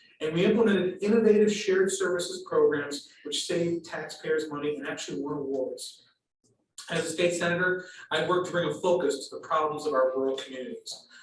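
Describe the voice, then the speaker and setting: A man with an American accent and a high pitch, fairly quick pace, ordinary pitch variation, and audible room echo. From Western New York (Fredonia). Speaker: state senator and election candidate. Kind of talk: prepared campaign speech at a candidates forum. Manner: formal.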